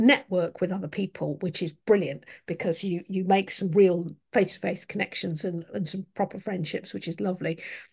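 A somewhat breathy woman talks at a moderate pace over a quiet background. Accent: English. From England. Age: 50s. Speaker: podcast host, indie fantasy author. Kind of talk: casual interview chat. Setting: video call.

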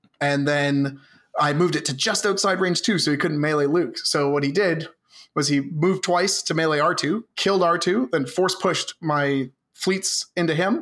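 A man with a Canadian accent has an unremarkable speaking voice at a fairly high pitch. He talks at a moderate pace with ordinary pitch variation and very even loudness. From Canada, Southern Ontario. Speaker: tabletop wargame player. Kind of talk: casual chat.

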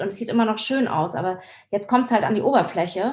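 A woman speaks in a plain, everyday voice, pitched fairly high, with fairly even intonation. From Hamburg, northern Germany. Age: 50s. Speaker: surfer and filmmaker. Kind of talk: interview conversation.

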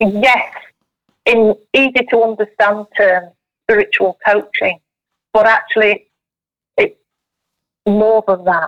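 Recorded dry and close with no echo, a woman speaks very slowly at a fairly high pitch, with very even loudness, fairly even intonation and long, frequent pauses. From South Yorkshire, England. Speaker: spiritual medium and tea leaf reader. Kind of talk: casual interview.

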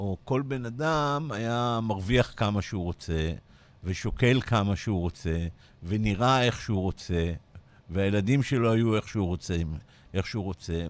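On a very clean recording with a silent background, a man talks at a moderate pace. His pitch is fairly low and his intonation lively. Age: 60s. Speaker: business coach. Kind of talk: radio interview. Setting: radio studio.

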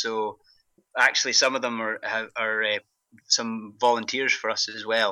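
Speaking with a strong Scottish accent, a man has a bright, sharp tone and a fairly slow pace. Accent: thick Scottish. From Scotland, Glasgow. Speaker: pharmacist, running group organiser. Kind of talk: interview. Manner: halting, many fillers.

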